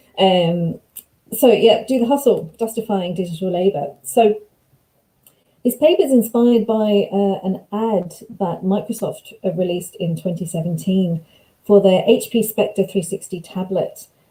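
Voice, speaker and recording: A woman with a somewhat breathy, medium-pitched voice speaks at a moderate pace with ordinary pitch variation. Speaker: academic researcher. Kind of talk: lecture. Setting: video call.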